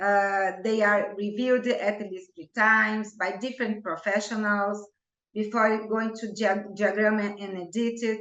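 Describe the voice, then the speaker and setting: With a Portuguese accent, a woman speaks at a fairly slow pace in a monotone, flat intonation, with big swings in loudness. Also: medium pitch for a woman. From Brazil. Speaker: homeopath. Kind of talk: interview.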